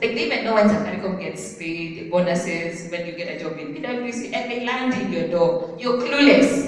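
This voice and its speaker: A woman speaks at a moderate pace with lively intonation. Strong room echo fills the recording. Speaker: speaker. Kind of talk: motivational talk. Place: hall.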